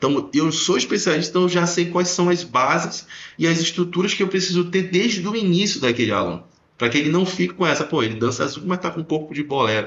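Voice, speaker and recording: A man speaks at a fairly quick pace in a high pitch. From Belém do Pará, northern Brazil. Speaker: dance teacher. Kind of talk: casual podcast conversation.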